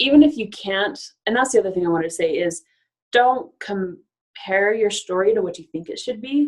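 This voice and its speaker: The speaker is a woman with a medium pitch. Her intonation is lively. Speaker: life coach. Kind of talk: webinar presentation. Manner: fast; animated.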